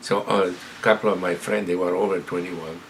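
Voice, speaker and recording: Over noticeable background noise, a man with an Italian accent speaks at a moderate pace in a very deep, low pitch. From Italy, Montebelluna (Veneto). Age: 70s. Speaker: retired immigrant telling life story. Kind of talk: personal storytelling interview. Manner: halting, with repetitions.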